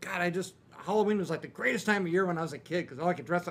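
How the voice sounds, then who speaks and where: Over noticeable background noise, a man with a fairly high voice talks at a very fast pace in an animated tone. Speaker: panel guest. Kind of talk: convention panel storytelling. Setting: stage with audience.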